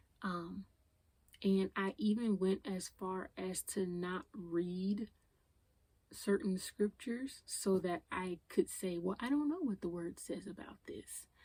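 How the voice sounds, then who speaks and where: A woman's somewhat breathy, dark and mellow voice at medium pitch, with ordinary pitch variation and a very slow pace. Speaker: podcast host. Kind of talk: unscripted personal podcast talk. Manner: emotional; casual, conversational.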